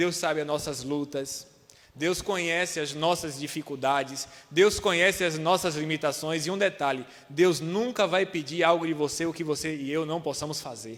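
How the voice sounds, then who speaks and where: An ordinary speaking voice from a man, fairly high-pitched, with ordinary pitch variation at a moderate pace. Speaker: preacher. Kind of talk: sermon. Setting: church.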